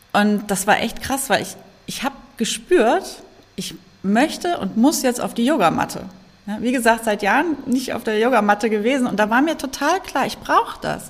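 A woman with lively intonation at a moderate pace. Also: fairly high pitch for a woman. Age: 40s. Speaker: yoga teacher and trauma-sensitive coach. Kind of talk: interview about personal experience of depression. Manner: hesitant with many fillers.

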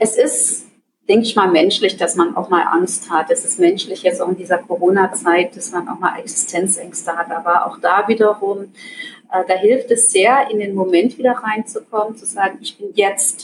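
A woman at a medium pitch and moderate pace, with ordinary pitch variation and big swings in loudness. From Germany. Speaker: psychologist and self-management trainer. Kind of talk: interview. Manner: hesitant with many fillers.

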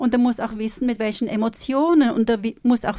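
A woman's fairly high voice with a dark, mellow tone and fairly even intonation, at a moderate pace on a very clean recording with a silent background. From Switzerland. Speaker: counsellor and coach, former cellist. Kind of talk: interview. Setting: studio.

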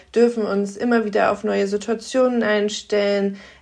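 The pace here is fairly slow. It is a normal speaking voice. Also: woman. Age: 30s. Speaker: podcast co-host. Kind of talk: interview.

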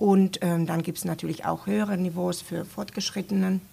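A somewhat breathy voice with a Finnish accent and lively intonation. The recording is very clean, with a silent background. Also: woman. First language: Finnish (speaking German). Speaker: university language centre staff. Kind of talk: casual interview. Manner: hesitant with fillers.

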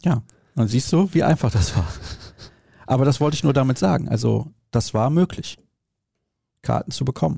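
With a dark, mellow tone and vocal fry, a man speaks at medium pitch and a moderate pace, his intonation lively, his loudness very even, and his pauses long and frequent. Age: 30s. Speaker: podcast host. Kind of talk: casual chat.

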